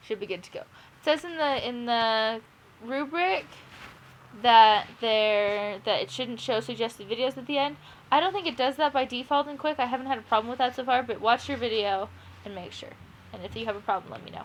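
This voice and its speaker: The speaker talks at a fairly quick pace with lively intonation. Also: woman, high pitch for a woman. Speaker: teacher. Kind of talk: tutorial. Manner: fast; casual, hesitant with fillers.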